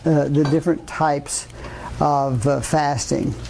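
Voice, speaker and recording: Amid noticeable background noise and audible room echo, a man with a fairly high pitch speaks at a very slow pace. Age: 80s+. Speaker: physician. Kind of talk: lecture. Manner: halting, many fillers.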